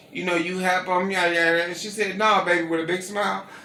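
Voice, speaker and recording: A raised, projected voice in an American accent, animated in tone, with audible room echo and noticeable background noise. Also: man. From Gary, Indiana, US Midwest. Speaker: interviewee, caterer. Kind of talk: casual interview, storytelling. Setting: at home.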